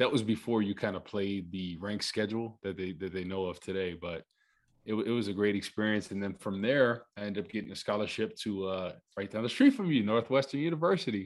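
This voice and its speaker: This man has an ordinary speaking voice, fairly low in pitch with ordinary pitch variation. He speaks at a fairly quick pace against a quiet background. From New Jersey (Rutherford). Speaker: former NFL player, TV analyst. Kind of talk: casual chat.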